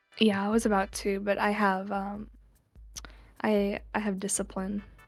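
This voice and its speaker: Against music in the background, a woman speaks at a fairly slow pace and a medium pitch, her intonation monotone and flat. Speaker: streamer. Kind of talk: casual chat.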